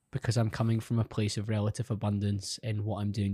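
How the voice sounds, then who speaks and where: On a very clean recording with a silent background, a man speaks at a fairly quick pace with a fairly low pitch. His voice is somewhat breathy and dark and mellow in tone, with a dry, close sound and no echo. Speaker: podcast host. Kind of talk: casual interview. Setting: studio.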